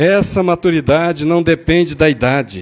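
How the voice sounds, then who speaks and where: A man's high-pitched voice at a very slow pace. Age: 60s. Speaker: spiritist lecturer. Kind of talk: religious lecture. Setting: spiritist center with audience. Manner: conversational, asks the audience questions.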